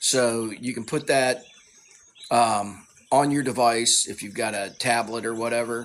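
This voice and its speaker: In a Southern US accent, a man at a medium pitch speaks with monotone, flat intonation. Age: 50s. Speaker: tai chi fitness creator. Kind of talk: casual live Q&A monologue. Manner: halting, repeats words.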